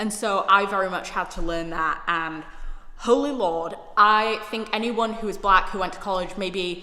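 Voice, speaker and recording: A woman with a British accent, fairly even intonation, noticeable background noise and audible room echo. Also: medium pitch for a woman, moderate pace. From United Kingdom. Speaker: YouTuber, recent graduate. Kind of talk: personal vlog monologue.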